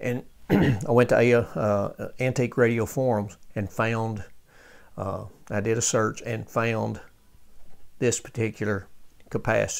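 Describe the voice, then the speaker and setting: Speaking at a fairly slow pace with long, frequent pauses, a man keeps his intonation fairly even. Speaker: radio restorer. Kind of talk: tutorial. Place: workshop. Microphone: phone near.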